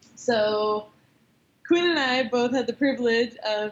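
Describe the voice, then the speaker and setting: This woman speaks at a moderate pace in a normal speaking voice, with ordinary pitch variation. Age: 20s. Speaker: CrossFit athlete and former nurse. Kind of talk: casual chat. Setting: gym.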